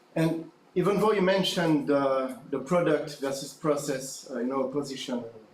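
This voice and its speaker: Amid noticeable background noise and audible room echo, a man with a fairly high pitch talks at a moderate pace with ordinary pitch variation. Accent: French. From France. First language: French. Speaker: academic conference audience member. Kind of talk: conference Q&A question. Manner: halting.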